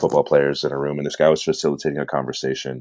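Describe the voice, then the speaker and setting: A man talks at a very fast pace in an American accent. The sound is dry and close, with no echo. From Southern California (San Bernardino). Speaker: entrepreneur and purpose coach. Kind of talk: podcast interview.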